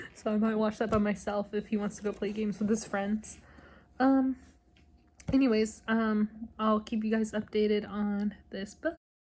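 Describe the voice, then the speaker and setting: A woman speaks at a moderate pace in a fairly high, somewhat breathy voice. Her intonation is monotone and flat. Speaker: book vlogger. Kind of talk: casual vlog chat. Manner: hesitant with many ums.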